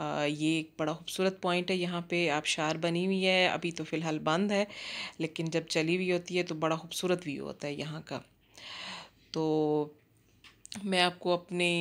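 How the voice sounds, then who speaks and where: A woman speaks with a fairly low pitch at a fairly slow pace. Her intonation is monotone and flat. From Pakistan, Jhang (Punjab); Punjab, Pakistan. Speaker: cooking vlogger, housewife; cooking vlogger. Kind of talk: casual vlog narration. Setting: outdoors in a park, then home kitchen. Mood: relaxed, friendly. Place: garden. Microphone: phone near.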